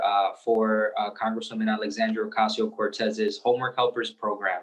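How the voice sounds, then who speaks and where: At a moderate pace, a man speaks with a medium pitch and monotone, flat intonation. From Puerto Rican heritage. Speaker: community organizer. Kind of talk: panel discussion.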